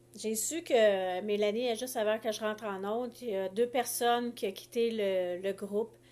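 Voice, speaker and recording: A woman speaks in a Quebec accent. Her pitch is fairly high and her pace fairly slow. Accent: Québécois French. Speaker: life coach. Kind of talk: live stream talk. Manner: halting.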